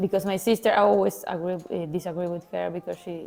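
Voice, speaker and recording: Medium-pitched woman's voice with a Spanish accent and fairly even intonation, music in the background. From Argentina. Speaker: panel guest. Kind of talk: casual group discussion.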